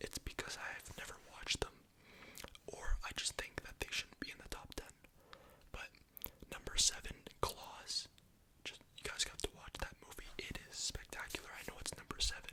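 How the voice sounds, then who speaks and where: Over noticeable background noise, a man whispers with big swings in loudness and long, frequent pauses. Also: moderate pace. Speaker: ASMR youtuber. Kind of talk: casual ASMR movie ranking monologue.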